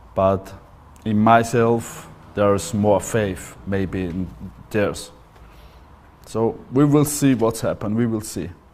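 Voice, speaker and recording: Speaking very slowly with long, frequent pauses, a man with an Austrian accent keeps ordinary pitch variation. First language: German. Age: 40s. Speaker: MMA fighter. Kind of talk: interview testimony. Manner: halting.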